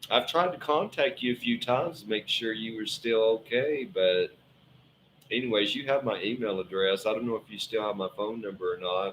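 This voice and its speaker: Ordinary pitch variation and a moderate pace from a man with a Southern US accent at medium pitch. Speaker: tarot reader. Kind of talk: live stream tarot reading. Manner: casual, halting with fillers.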